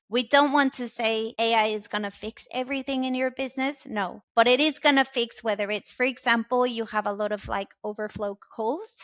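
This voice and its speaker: Speaking with a strong Mexican accent, a woman talks at a moderate pace with hardly any pauses, fairly high in pitch and with fairly even intonation, in a dry, close sound with no echo. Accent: thick Mexican Spanish. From Mexico. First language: Spanish. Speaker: tech sales partner manager. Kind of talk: podcast interview.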